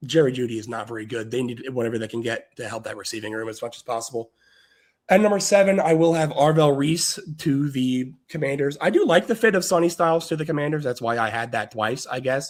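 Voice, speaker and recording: A man's fairly high voice, very fast, with lively intonation. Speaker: sports podcast host. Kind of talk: casual sports analysis.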